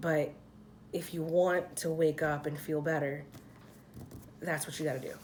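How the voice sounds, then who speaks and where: American accent from a woman speaker. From Philadelphia, US. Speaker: tarot card reader. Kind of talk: tarot reading. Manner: casual, chatty.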